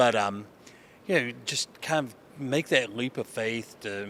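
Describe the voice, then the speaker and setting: A man speaks with an Appalachian accent. His delivery is fairly slow, with a bright, sharp tone. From Eastern Kentucky. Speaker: college sports conference commissioner. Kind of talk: interview. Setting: convention. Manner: halting, many fillers.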